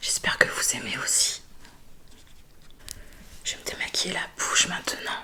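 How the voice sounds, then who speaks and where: A woman is whispering at a moderate pace, with long, frequent pauses. Noticeable background noise can be heard. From Bordeaux, France. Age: 20s. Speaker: ASMR creator. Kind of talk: ASMR skincare video. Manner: soft-spoken, relaxing.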